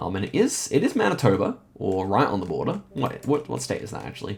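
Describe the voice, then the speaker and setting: Talking at a fairly quick pace, a man lets his pitch swing very widely over noticeable background noise. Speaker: gaming YouTuber. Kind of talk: live gameplay commentary. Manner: fast.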